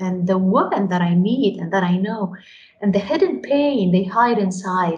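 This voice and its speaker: A woman with a Lebanese accent, somewhat breathy at a medium pitch, with lively intonation, a moderate pace and audible room echo. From Lebanon. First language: Arabic. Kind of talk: interview. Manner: hesitant repetitions.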